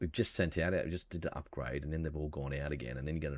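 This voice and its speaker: A soft-spoken man with a very deep, low pitch. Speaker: gaming YouTuber. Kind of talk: game commentary. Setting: home recording. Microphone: voice can be too quiet.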